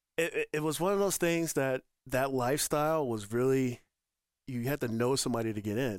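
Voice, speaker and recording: A plain, everyday voice from a man, medium in pitch, with ordinary pitch variation, a fairly quick pace, and a dry, close sound without echo. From Northern Colorado. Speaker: retired army veteran, lifestyle center director. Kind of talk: podcast interview.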